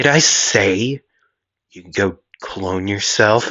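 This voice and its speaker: Speaking at a very slow pace, a man uses a put-on character voice with ordinary pitch variation. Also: fairly low pitch for a man. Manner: entitled, demanding.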